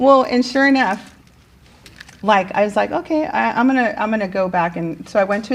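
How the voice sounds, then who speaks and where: Noticeable background noise sits behind a woman talking at a fairly quick pace. Her tone is animated, with lively intonation. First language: Spanish. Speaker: teacher. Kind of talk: casual interview chat. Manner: animated, many fillers.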